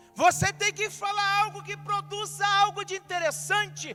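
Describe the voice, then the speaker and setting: A man's raised, projected voice amid noticeable background noise. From Brazil, Rio de Janeiro. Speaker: pastor. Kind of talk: sermon.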